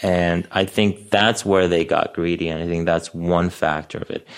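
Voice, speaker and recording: In an American accent, a man with a very deep, low pitch speaks at a fairly quick pace on a very clean recording with a silent background. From Astoria, Queens, New York City; early childhood in Bosnia. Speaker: real estate broker. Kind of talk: casual interview.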